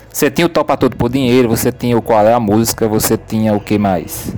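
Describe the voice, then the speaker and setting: Through noticeable background noise comes a man's voice at a medium pitch. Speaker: business professor. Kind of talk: casual chat.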